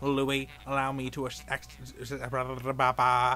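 Someone reads aloud in an unforced reading voice.

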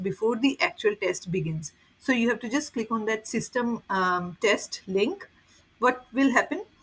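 Somewhat breathy, this woman talks at a moderate pace with ordinary pitch variation. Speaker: certification exam guide creator. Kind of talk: tutorial.

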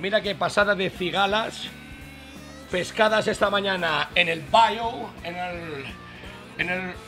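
A raised, projected voice carries ordinary pitch variation over clear music in the background. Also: man. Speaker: bar host. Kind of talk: cooking tutorial. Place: bar.

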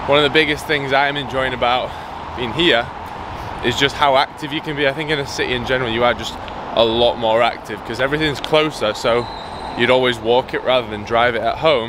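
Amid noticeable background noise, a man talks at a fairly quick pace with fairly even intonation, the sound dry with no echo. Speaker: fitness vlogger. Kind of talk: casual vlog chat. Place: waterside. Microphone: phone near.

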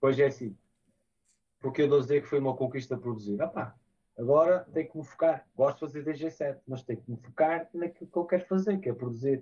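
A man speaks at a fairly quick pace with a fairly high pitch, ordinary pitch variation and a dark, mellow, somewhat breathy tone. His loudness swings widely against a quiet background. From northern Portugal, Porto area; northern Portugal. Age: 30s. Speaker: DJ and music producer; DJ. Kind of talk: interview. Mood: calm, reflective. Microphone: video call.

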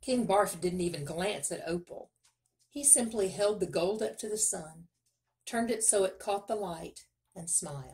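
Someone reads aloud in a natural voice with ordinary pitch variation. The background is quiet.

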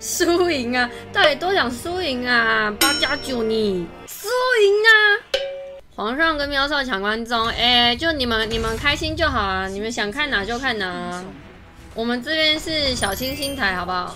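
Clear music plays in the background. A woman speaks at a high pitch with lively intonation. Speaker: game streamer. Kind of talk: live game stream commentary. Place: home room.

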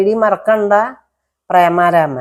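In a normal speaking voice, a woman talks at medium pitch with ordinary pitch variation. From Kerala, Thrissur. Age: 60s. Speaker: vlogger and domestic worker. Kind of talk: personal life story monologue.

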